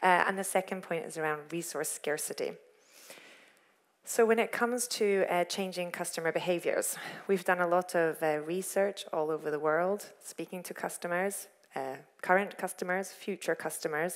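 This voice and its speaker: Here is a plain, everyday voice from a woman with fairly low pitch. She keeps a moderate pace and fairly even intonation. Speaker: corporate sustainability lead giving a talk. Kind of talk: lecture. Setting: stage with audience.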